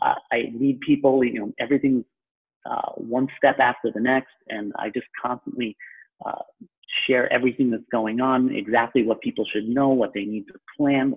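Speaking in a New York accent at a moderate pace, the voice stays monotone and flat in intonation while showing big swings in loudness. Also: man, medium pitch for a man. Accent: New York (Long Island), noticeable. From Long Island, New York. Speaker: real estate broker. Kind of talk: casual interview conversation.

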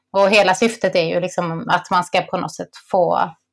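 Vocal fry in a woman's fairly low-pitched voice, moderately paced. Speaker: podcast host. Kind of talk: casual chat.

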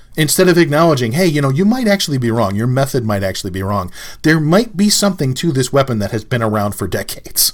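A man speaks at a medium pitch. His pitch swings very widely. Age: 50s. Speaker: martial arts podcast host. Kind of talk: solo commentary podcast.

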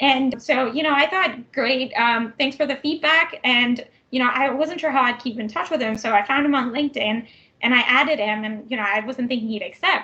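Raised and projected, a woman's high, bright, sharp voice comes with a Canadian accent, a fairly quick pace and ordinary pitch variation. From Vancouver, Canada. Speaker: tech program manager. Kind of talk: interview.

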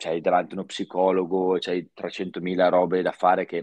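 The recording of this man has a dry, close sound with no echo and a quiet background. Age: 30s. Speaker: professional snowboarder. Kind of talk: casual chat.

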